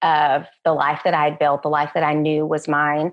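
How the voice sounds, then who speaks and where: This is a woman speaking with a Texan accent. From West Texas. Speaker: education professor. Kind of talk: interview.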